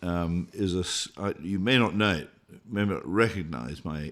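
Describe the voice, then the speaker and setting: In a British accent, a man with a very deep, low pitch speaks at a fairly slow pace with lively intonation. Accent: Queen's English, Oxbridge-type British. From Scotland. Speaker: artist and illustrator. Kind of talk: interview conversation. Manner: halting, many fillers.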